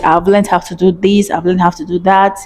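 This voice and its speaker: The speech comes in a Nigerian accent at a moderate pace, with monotone, flat intonation. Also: woman. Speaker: vlogger. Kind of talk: casual advice vlog.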